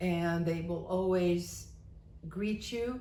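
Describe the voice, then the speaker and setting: Over noticeable background noise, a woman with an American accent speaks at a very slow pace and fairly low pitch with ordinary pitch variation. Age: 80s+. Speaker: retiree. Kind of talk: casual talk to camera.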